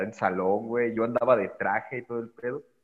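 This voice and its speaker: With a Mexican accent, a man talks at a fairly quick pace in a medium pitch. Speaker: podcaster. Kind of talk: casual chat. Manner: talkative.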